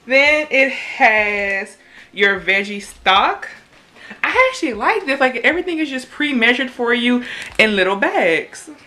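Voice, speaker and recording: A woman with a Louisiana accent uses a raised, projected voice at a high pitch. She speaks at a fairly slow pace with very wide pitch swings. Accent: Louisiana Southern US. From US South, Louisiana. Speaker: YouTuber. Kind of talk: casual cooking vlog. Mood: upbeat, pleased. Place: kitchen. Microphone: phone near.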